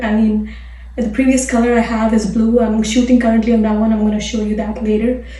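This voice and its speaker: A soft-spoken woman talks in a fairly high pitch. Her intonation is monotone and flat, with noticeable background noise behind her. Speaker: fitness and nutrition coach. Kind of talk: casual talk to camera.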